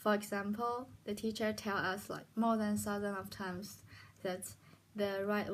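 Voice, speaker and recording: Recorded very cleanly against a silent background, a woman speaks with a Chinese accent at a fairly slow pace. Her medium-pitched voice is monotone and flat. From China. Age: 20s. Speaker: hospitality student. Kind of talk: internship presentation. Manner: halting.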